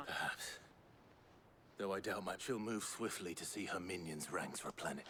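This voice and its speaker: A man uses a put-on character voice at a fairly low pitch and a moderate pace. Long, frequent pauses appear, with clear background noise throughout. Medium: video game. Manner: measured, formal.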